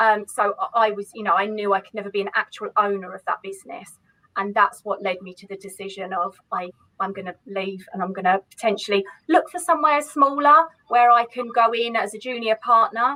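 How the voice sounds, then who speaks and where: In a dry, close recording with no echo, a woman with a fairly high pitch talks fairly quickly in an animated tone, with ordinary pitch variation and big swings in loudness. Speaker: accountant. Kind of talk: interview.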